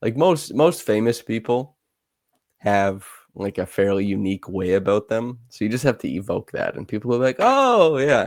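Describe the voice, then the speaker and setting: Talking with a Canadian accent, a man uses a normal speaking voice with medium pitch at a moderate pace. The recording is very clean, with a silent background. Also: lively intonation. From Canada. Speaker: basketball film analyst, podcast co-host. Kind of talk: casual chat.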